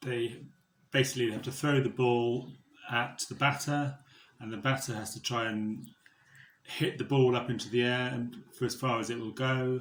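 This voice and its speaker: A man with a southern English accent speaks at medium pitch and a moderate pace, with monotone, flat intonation and long, frequent pauses. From southeast England (Buckinghamshire). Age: 40s. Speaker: fundraiser. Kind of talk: interview answers.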